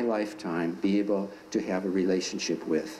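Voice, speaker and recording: A man speaks fairly slowly, his voice carrying audible room echo amid noticeable background noise. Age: 60s. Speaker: dialogue group member. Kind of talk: classroom talk. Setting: high school classroom.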